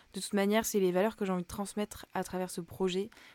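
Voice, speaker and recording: Heard on a very clean recording with a silent background, a woman of medium pitch has a dark, mellow tone. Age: 20s. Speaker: podcast host, student. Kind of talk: casual personal monologue. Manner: hesitant, many fillers.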